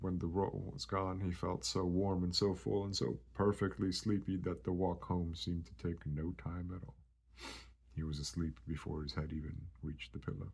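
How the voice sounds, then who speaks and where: A somewhat breathy man with a very deep, low voice talks at a moderate pace with ordinary pitch variation. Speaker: ASMR creator. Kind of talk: bedtime story reading.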